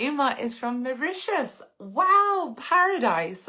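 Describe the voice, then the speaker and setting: A woman speaks in a bright, sharp tone. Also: very clean recording, silent background. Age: 30s. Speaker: lifestyle vlogger, influencer. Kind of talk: live stream chat with viewers.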